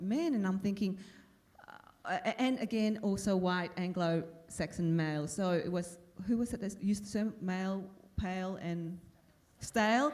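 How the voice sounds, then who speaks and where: There is audible room echo as a woman speaks at a fairly slow pace with ordinary pitch variation. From Vietnam, raised in Australia. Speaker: former broadcaster and politician. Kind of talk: panel discussion. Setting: conference stage with audience. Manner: halting, many fillers.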